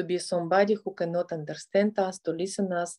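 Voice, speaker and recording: A woman's fairly low, dark and mellow voice, gentle and soothing in tone, with a Russian accent, fairly even intonation and a quiet background. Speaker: family therapist and motivational speaker. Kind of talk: guided meditation. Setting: online video session with background music. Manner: slow, soft, calm instructions with pauses; gentle, soothing and directive. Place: home room. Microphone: phone near.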